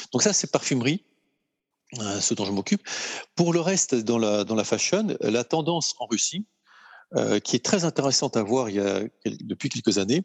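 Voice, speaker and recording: Speaking at a moderate pace with long, frequent pauses, a man of medium pitch makes very wide pitch swings in a dry, close sound with no echo and a quiet background. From France. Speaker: luxury goods executive. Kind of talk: casual interview. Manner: hesitant, many fillers.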